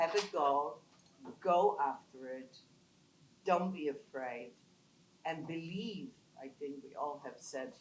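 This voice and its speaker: Room echo is audible as a woman speaks at a very deep, low pitch. Her pace is very slow. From Poland. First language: not English. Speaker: business founder, panelist. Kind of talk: panel talk. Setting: conference panel with audience.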